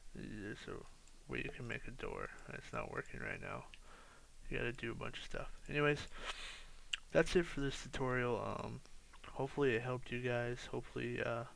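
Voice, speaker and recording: Audible room echo follows a man's voice as he talks at a moderate pace. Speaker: architecture student making software tutorials. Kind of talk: tutorial. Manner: sounds tired, low energy; hesitant, many fillers.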